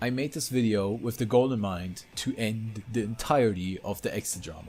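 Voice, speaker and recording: With a German accent, a man talks at a medium pitch and moderate pace, his pitch varying in an ordinary way. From Germany. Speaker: YouTuber, drama commentator. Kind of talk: commentary video narration.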